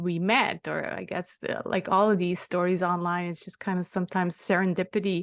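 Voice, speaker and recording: A woman with a Swiss German accent and medium pitch, against a quiet background. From German-speaking Switzerland. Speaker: podcast host. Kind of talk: interview.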